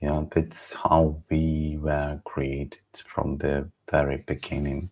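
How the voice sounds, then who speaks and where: Delivery comes in a Ukrainian accent at a very slow pace. The intonation is monotone and flat. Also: man. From Ukraine. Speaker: livestream host. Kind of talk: unscripted reflective livestream monologue. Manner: halting, many repetitions and restarts.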